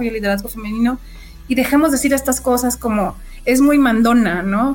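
A woman is speaking. Her pitch is high. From Mexico, Sonora. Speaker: project manager, architect-engineer. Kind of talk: interview. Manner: animated.

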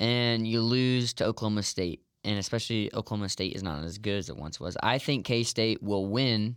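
A man with a normal speaking voice talks at a fairly quick pace with hardly any pauses. His pitch is fairly low, with ordinary variation. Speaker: guest co-commentator, Nebraska fan. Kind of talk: casual sports debate.

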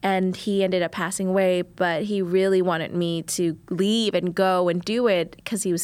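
Her medium-pitched voice stays monotone and flat, and this woman is recorded very cleanly against a silent background. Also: hardly any pauses. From New Orleans, Louisiana (Vietnamese family). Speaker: chef, cooking competition contestant. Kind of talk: casual interview. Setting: studio.

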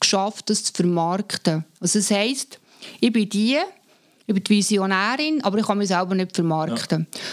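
A woman at medium pitch is heard with a dry, close sound and no echo. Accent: Swiss. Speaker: artist and communication expert. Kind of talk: casual chat.

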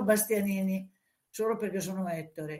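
A woman speaks in a somewhat breathy voice. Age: 80s+. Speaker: former dancer, book subject. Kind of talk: interview.

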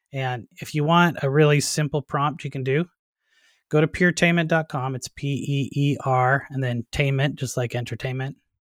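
Here a man talks at a moderate pace in an unremarkable speaking voice, fairly high in pitch with fairly even intonation. The recording is very clean and silent behind him, with a dry, close sound and no echo. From Canada. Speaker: digital marketing expert and author. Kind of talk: casual interview.

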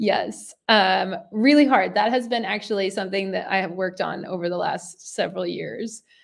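A woman at a moderate pace with hardly any pauses, medium pitch, ordinary pitch variation, and vocal fry. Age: 30s. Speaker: professional CrossFit athlete and coach. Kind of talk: casual interview chat.

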